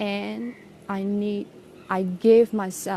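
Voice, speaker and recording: A woman with a non-native accent speaks at a medium pitch with a dark, mellow tone. Her intonation is flat and monotone. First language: not English. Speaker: English teacher. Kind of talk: personal vlog reflection. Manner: halting, many fillers.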